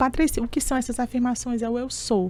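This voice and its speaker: Moderately paced speech from a woman, dark, mellow tone and ordinary pitch variation. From Brazil, Teresina (Piauí). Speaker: public speaking mentor and coach. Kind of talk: interview.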